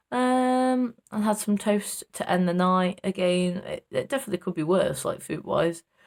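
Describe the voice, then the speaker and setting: Moderate pace with hardly any pauses, in an East Midlands accent, on a very clean recording with a silent background. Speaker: vlogger. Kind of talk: casual vlog. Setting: walking outdoors. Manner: loud, chatty.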